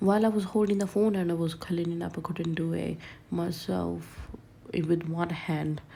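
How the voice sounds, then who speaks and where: A woman speaks at a moderate pace in a fairly low voice, her intonation fairly even, with audible room echo. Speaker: home vlogger. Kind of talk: casual vlog narration. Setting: at home.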